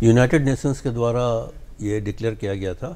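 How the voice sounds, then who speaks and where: A man is talking at a medium pitch. His tone is dark and mellow. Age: 70s. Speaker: environmental expert. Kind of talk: TV interview.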